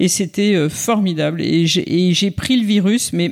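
A woman speaks with ordinary pitch variation. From France, Auvergne (Clermont-Ferrand). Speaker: former political communications director and author. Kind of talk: interview. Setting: hotel room. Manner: hesitant, many fillers and repetitions.

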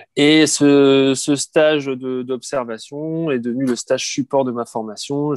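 In a dry, close recording with no echo, a man speaks at a medium pitch with fairly even intonation. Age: 40s. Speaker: nursing home director. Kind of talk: interview. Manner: halting, many repetitions and fillers.

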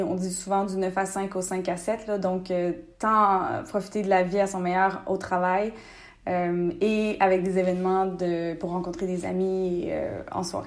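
This woman talks at a fairly slow pace, her medium pitch held in a monotone, flat intonation. Audible room echo surrounds her voice. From Quebec, Bas-Saint-Laurent (Rimouski). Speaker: entrepreneur. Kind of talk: interview.

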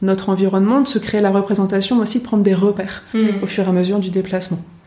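Over noticeable background noise, a woman talks at a very fast pace. Her pitch sits in the medium range. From northern France. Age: 30s. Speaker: orientation and mobility instructor. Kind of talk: interview. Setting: in person at her workplace.

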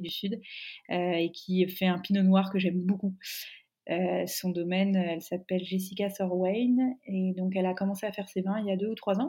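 On a very clean recording with a silent background, a woman talks at a fairly quick pace, her medium-pitched voice somewhat breathy with a dark, mellow tone. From Burgundy, France (Dijon). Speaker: wine sales manager. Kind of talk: interview. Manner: hesitant, many fillers.

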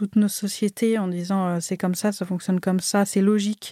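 The intonation is monotone and flat. The recording is very clean with a silent background and a dry, close sound without echo. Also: woman. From France, Marseille (from age 6). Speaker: artist. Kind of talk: interview conversation. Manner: halting, many hesitations.

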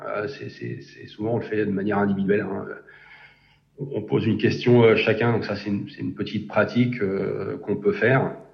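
Noticeable background noise mixes with audible room echo throughout the clip. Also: man, fairly low pitch for a man, ordinary pitch variation, moderate pace. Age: 40s. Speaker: engineering program manager. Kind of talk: interview. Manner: halting, many repetitions and fillers.

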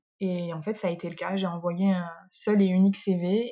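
A woman's somewhat breathy voice, dark and mellow in tone, in a monotone, flat intonation on a very clean recording with a silent background. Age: 30s. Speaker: nurse. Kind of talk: interview. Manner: hesitant, many fillers.

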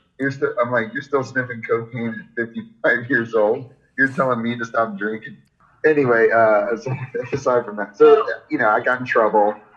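A man speaks with a Florida accent and ordinary pitch variation. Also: medium pitch for a man, moderate pace. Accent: American, Florida. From Florida, Jacksonville. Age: 40s. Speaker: skateboarding coach, former pro skater. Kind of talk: casual interview.

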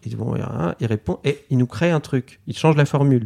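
A man's medium-pitched voice with a dark, mellow tone, lively intonation and a fairly quick pace, in a dry, close sound with no echo. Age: 30s. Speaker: illustrator. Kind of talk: interview. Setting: artist's studio. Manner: hesitant with fillers.

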